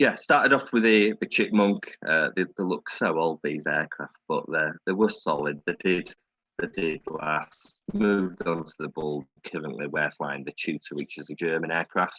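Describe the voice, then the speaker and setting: In a northern English accent, a man talks at a moderate pace with hardly any pauses, captured in a dry, close sound with no echo. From Yorkshire, northern England. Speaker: air cadet officer. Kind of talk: presentation to an online audience.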